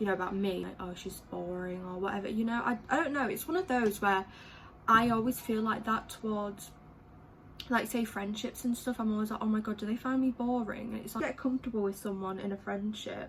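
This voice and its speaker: A woman speaks with an English accent. Her pitch is fairly high, with ordinary variation. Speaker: beauty vlogger. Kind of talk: casual chat. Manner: chatty, filler-heavy.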